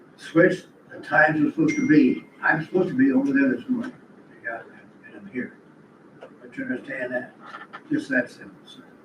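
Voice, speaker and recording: A man talks at a fairly quick pace, with long, frequent pauses and big swings in loudness. Noticeable background noise fills the recording. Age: 80s+. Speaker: resident complainant. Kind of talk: heated argument. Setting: county board meeting.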